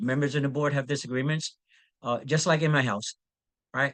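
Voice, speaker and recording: A man talks at a fairly high pitch, keeping his intonation fairly even. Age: 60s. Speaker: community library founder and military veteran. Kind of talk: panel discussion. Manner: halting, many fillers.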